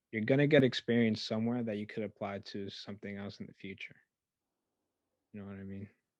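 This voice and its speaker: Against a quiet background, a man with a fairly low pitch mumbles at a very fast pace with fairly even intonation and long, frequent pauses. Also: big swings in loudness. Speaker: podcast host. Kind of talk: casual chat. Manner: mumbling; stutters at times.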